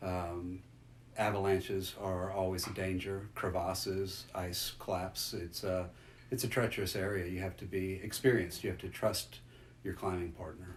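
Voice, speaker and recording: A man with an American accent speaks at a moderate pace in a very deep, low, somewhat breathy voice. His intonation is fairly even, and there is audible room echo. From US South, South Louisiana. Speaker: interviewee recounting family adventure. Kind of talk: interview storytelling.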